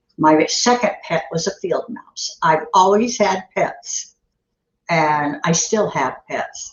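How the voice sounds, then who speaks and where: Somewhat breathy, a woman at a medium pitch speaks very slowly with very wide pitch swings. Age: 70s. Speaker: dog trainer. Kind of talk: interview answers.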